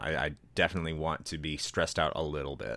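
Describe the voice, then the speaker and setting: With an American accent, a man speaks at a very fast pace in a very deep, low pitch, his tone bright and sharp with vocal fry, on a very clean recording with a silent background. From United States. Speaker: podcast presenter. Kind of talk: casual chat.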